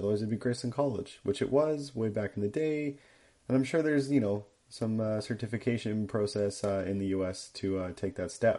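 The speaker has a slight Canadian accent. Pitch variation is ordinary. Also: man. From Canada. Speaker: fact checker. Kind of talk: prepared segment reading. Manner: frequent hesitations (um, uh).

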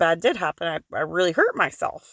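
A woman with an American accent talks at a moderate pace with lively intonation, on a very clean recording with a silent background and a dry, close sound with no echo. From Kentucky. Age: 30s. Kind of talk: solo podcast talk. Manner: casual, laughing.

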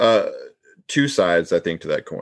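This is a man speaking with an American accent. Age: 40s. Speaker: sports podcast co-host. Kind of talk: casual chat. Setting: video call.

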